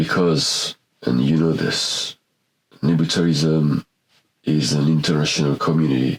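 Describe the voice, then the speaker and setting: A man's very deep, low voice, monotone and flat, at a fairly slow pace with long, frequent pauses, very even loudness, and a dry, close sound with no echo. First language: not English. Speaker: painter and photographer. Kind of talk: casual monologue to camera. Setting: small home studio. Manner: halting.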